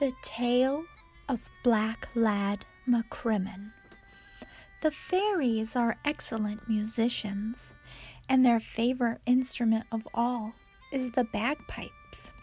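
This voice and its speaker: Soft-spoken and fairly high in pitch, a woman talks at a very slow pace with long, frequent pauses while music plays in the background. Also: ordinary pitch variation. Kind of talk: read story.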